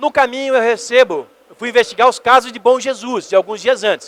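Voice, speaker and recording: Shouting at a moderate pace, a man uses an extremely high pitch with ordinary pitch variation, recorded with a dry, close sound and no echo. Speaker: ufologist, magazine editor. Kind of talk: lecture. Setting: convention stage with audience. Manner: loud, shouting.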